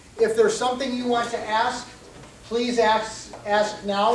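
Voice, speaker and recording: A man's high-pitched, monotone voice comes through flat, with audible room echo and noticeable background noise. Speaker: MMA referee. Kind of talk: rules briefing. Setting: meeting room with microphone.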